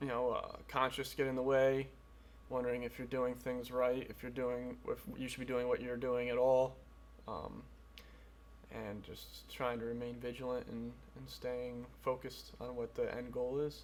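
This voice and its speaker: Noticeable background noise runs through the recording. A man speaks at a moderate pace. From US Northeast (New Preston, Connecticut). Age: 20s. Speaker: amateur MMA fighter. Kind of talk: documentary interview.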